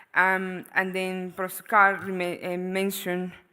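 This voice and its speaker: A woman speaks with a Venezuelan accent. Her voice is fairly low-pitched, with a bright, sharp tone. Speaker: economist, panelist. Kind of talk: panel discussion presentation. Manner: hesitant, many fillers.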